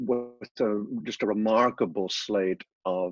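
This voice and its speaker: A man's fairly low voice in an Irish accent, with a dry, close sound and no echo. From Ireland. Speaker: business consultant and author. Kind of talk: podcast interview.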